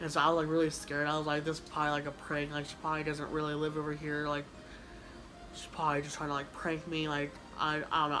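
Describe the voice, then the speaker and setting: Mumbling at a very fast pace, a woman with a very deep, low pitch speaks in a monotone, flat way amid audible room echo. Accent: American. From Kansas, US. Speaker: YouTuber. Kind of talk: casual chat. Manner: halting.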